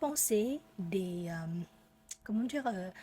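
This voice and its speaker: A somewhat breathy woman with a dark, mellow tone and lively intonation at a very slow pace. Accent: Vietnamese. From Vietnam. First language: Vietnamese (speaking French). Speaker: French learner vlogger. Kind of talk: casual unscripted monologue. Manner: halting, many hesitations.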